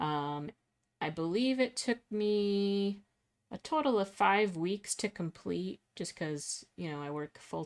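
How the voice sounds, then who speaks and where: A soft-spoken woman with lively intonation and a very slow pace, on a very clean recording with a silent background. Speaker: illustrator. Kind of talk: casual chat. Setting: live stream.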